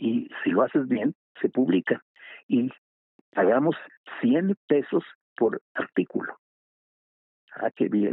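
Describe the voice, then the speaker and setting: A man talking at a very slow pace. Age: 80s+. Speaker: writer. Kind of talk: interview.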